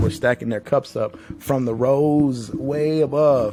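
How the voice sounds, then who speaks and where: Ordinary pitch variation marks this man's speech in a Southern US accent. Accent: Southern country. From Tennessee, Nashville. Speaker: podcast host. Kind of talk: casual monologue. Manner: casual, filler-heavy.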